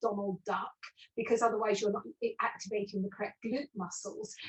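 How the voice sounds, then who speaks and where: At a fairly quick pace, the speaker uses a normal speaking voice with ordinary pitch variation. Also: woman. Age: 60s. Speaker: postural alignment specialist. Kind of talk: interview webinar.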